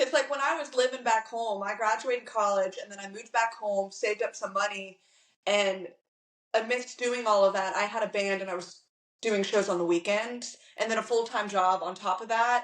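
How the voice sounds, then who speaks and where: Using a normal speaking voice, a woman talks at a moderate pace with fairly high pitch, fairly even intonation and big swings in loudness. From Virginia, Hampton Roads. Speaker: country singer-songwriter. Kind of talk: interview.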